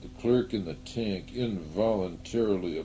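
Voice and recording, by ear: A passage is being read aloud. The delivery uses a natural voice.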